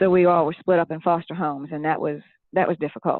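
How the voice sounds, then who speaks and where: A woman with a slight Southern US accent talks at a fairly quick pace. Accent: southern-tinged. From Philadelphia area, Pennsylvania, family from Tennessee. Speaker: children's book author and former teacher. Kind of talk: interview testimony.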